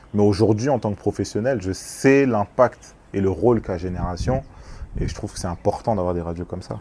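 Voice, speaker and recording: The voice has a dark, mellow tone, moves at a fairly quick pace and shows ordinary pitch variation. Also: man, fairly low pitch for a man. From France, Congolese family. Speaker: music industry executive. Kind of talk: casual interview. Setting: on location. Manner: halting, repeats words.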